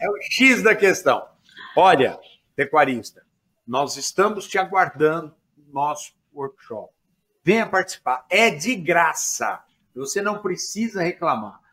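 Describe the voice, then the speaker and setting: A man's high-pitched, bright, sharp voice with lively intonation and big swings in loudness, at a very slow pace with long, frequent pauses. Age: 60s. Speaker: pasture management professor. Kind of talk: podcast sales pitch.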